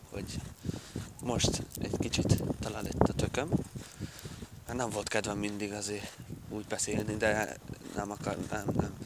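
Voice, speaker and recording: Amid noticeable background noise and audible room echo, a man with a fairly low pitch talks at a fairly slow pace in monotone, flat intonation, with long, frequent pauses. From southern Slovakia, Hungarian minority (Palóc area). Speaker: vlogger. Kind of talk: casual vlog monologue. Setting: outdoors, walking along a dam. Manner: casual, hesitant with fillers.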